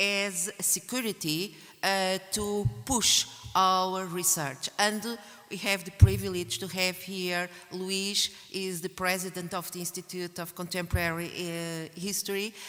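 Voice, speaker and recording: Speaking with a Portuguese accent over background music, a woman keeps a medium pitch and fairly even intonation while her loudness swings widely. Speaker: academic researcher and conference organizer. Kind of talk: conference closing speech. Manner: halting, many fillers.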